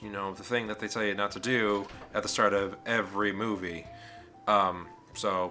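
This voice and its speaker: Music plays in the background as a man talks at a fairly low pitch with monotone, flat intonation. His speech has long, frequent pauses and big swings in loudness. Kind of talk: casual talk to camera. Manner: rambling.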